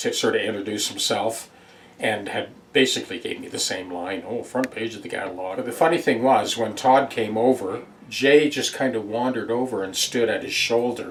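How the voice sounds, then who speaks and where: A man with a Canadian accent speaks with big swings in loudness over noticeable background noise. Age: 70s. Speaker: guitar repair technician and former instructor. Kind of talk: casual address to viewers. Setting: workshop.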